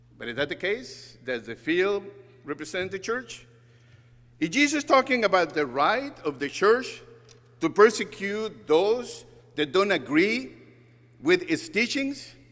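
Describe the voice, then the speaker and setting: A man's high voice in a Spanish accent, with very wide pitch swings and long, frequent pauses. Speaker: guest preacher, church communication director. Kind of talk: sermon.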